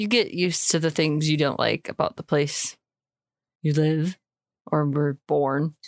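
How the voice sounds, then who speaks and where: A woman's very deep, low voice with an American accent, fairly slow and broken by long, frequent pauses. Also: fairly even intonation, dry, close sound with no echo. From US Midwest, Illinois. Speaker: co-host. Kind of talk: casual chat.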